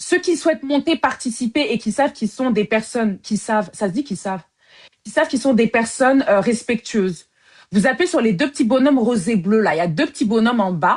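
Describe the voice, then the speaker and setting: A woman speaks at a fairly quick pace in a fairly high, somewhat breathy voice with very wide pitch swings against a quiet background. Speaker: live-stream host of dating show. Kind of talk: casual live-stream chat. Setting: live video stream. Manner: fast; talkative.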